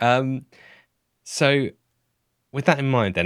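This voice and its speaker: A man speaks at a moderate pace, captured in a very clean recording against a silent background. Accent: southern English. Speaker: podcast host. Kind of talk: casual chat.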